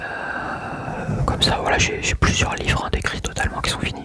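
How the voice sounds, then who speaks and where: A man whispering over noticeable background noise. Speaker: ASMR creator. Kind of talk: ASMR talk to camera. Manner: whispered.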